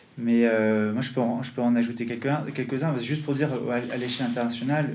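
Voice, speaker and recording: A man's medium-pitched voice moves at a fairly quick pace with fairly even intonation, with audible room echo and noticeable background noise. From North America (US and Canada). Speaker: activist publisher. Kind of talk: panel discussion. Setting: public talk with audience. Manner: hesitant, many fillers.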